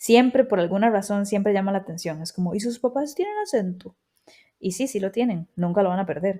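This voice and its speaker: A woman's medium-pitched voice has a dark, mellow tone and ordinary pitch variation. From Costa Rica. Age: 30s. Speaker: podcast host. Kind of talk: personal storytelling monologue.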